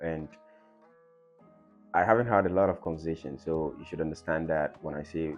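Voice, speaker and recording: Music plays in the background. Over it, a man speaks fairly quickly in a very deep, low pitch. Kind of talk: podcast intro to camera.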